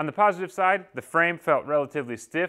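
The background stays quiet. A man's tone is bright and sharp. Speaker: bike reviewer. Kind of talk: product review wrap-up. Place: garage.

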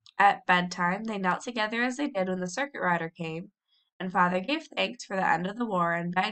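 A natural voice reading aloud, pitch moving in an ordinary way, the background quiet.

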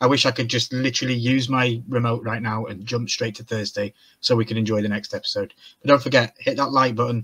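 Against a quiet background, a man speaks at a fairly quick pace. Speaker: reaction show co-host. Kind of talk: casual discussion. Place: home room.

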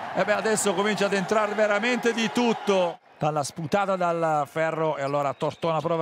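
Music in the background behind a man at a moderate pace. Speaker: basketball commentator. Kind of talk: live sports commentary, play-by-play over highlights. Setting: game broadcast. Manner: run-on sentences, names and actions tumbling out nonstop.

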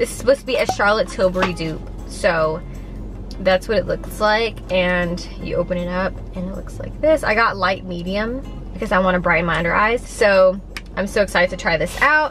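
A woman speaks at a fairly quick pace with clear music in the background. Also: ordinary pitch variation. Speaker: vlogger. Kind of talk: casual vlog chat. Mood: upbeat, chatty. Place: car. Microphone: phone near.

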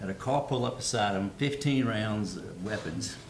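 Amid audible room echo, a man with a fairly low pitch speaks with lively intonation. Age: 60s. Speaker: city council member. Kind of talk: public meeting remarks. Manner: halting, many fillers and repetitions.

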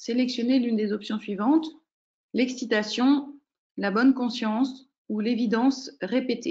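A woman speaks at a fairly slow pace. Her voice is high in pitch. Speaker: program director and coach. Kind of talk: webinar moderation. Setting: video call. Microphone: video call.

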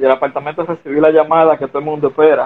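Monotone, flat intonation marks this man's speech. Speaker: former pro baseball player. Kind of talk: casual interview. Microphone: phone near.

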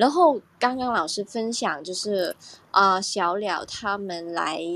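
A woman's intonation is lively. She talks at a very slow pace. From Hong Kong. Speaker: audience member. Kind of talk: casual sharing.

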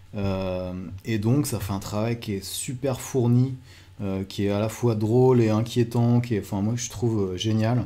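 Fairly slow and fairly even in intonation, a man speaks. His tone is dark and mellow. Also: medium pitch for a man. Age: 30s. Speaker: photographer and photo mentor. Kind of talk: video talk presenting photo books. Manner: hesitant with many fillers.

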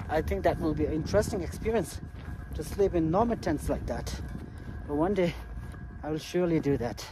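A man with a Tibetan accent talks at a fairly quick pace, broken by long, frequent pauses. The sound is dry with no echo, and there is noticeable background noise. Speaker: travel vlogger. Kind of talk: vlog narration. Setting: outdoors. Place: open country. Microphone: phone near.

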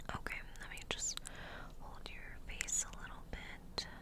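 A woman's voice at a fairly slow pace, dry with no echo, over loud background noise. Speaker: ASMR creator. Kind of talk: ASMR roleplay, friend doing your makeup. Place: home room. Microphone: studio mic.

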